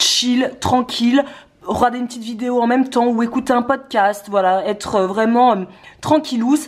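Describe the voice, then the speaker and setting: A woman speaks with fairly even intonation at a fairly high pitch, with noticeable background noise behind her. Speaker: cooking vlogger. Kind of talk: casual cooking tutorial. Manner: fast.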